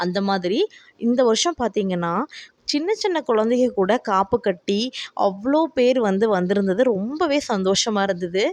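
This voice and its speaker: A woman speaks in an ordinary speaking voice, fairly high in pitch with lively intonation. Her loudness stays very even throughout. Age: 30s. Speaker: devotional video creator. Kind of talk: casual vlog narration.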